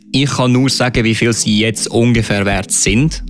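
Music plays in the background as a man speaks at a medium pitch with fairly even intonation. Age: 20s. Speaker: esports player. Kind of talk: interview. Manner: hesitant, many filler sounds.

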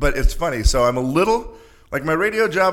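With vocal fry and very wide pitch swings, a man speaks at a fairly quick pace. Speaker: college sports arena announcer. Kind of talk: casual interview chat.

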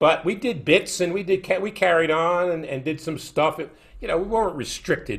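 Lively in intonation, a man with a New York accent talks at a fairly quick pace and fairly high pitch. The recording is very clean, with a silent background. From New York, Brooklyn. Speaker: sports broadcaster. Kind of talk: casual interview.

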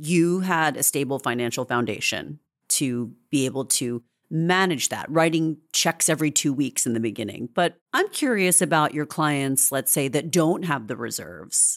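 Her pitch very deep and low, a woman talks at a moderate pace with lively intonation. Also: very clean recording, silent background. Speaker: podcast host. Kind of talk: interview.

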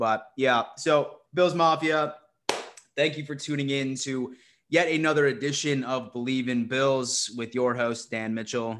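Against a quiet background, a man speaks at a fairly slow pace with ordinary pitch variation in a normal speaking voice. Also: medium pitch for a man. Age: 20s. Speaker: sports podcast host. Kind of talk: casual chat.

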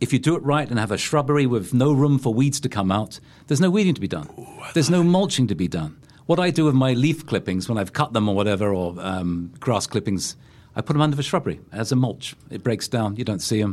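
A man with a London accent talks at a very fast pace in a medium pitch, his voice swinging very widely up and down. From England. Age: 60s. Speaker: gardening and landscaping expert, former teacher. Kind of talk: casual interview. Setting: studio.

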